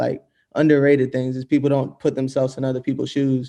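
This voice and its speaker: Very fast and flat in a monotone, a man with an American accent speaks at medium pitch with a dark, mellow tone. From US South. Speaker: music producer. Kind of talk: casual interview.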